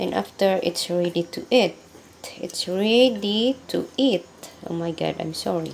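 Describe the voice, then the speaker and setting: Over noticeable background noise, a woman with a Filipino accent talks at a fairly slow pace, her pitch fairly low with ordinary variation. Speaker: domestic worker cooking vlogger. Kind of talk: cooking tutorial. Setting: kitchen. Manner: halting.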